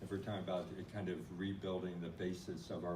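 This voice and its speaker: The speech runs at a fairly quick pace, with noticeable background noise and audible room echo. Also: man. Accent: Midwestern US. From US Midwest. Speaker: non-profit organization leader. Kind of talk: conference talk.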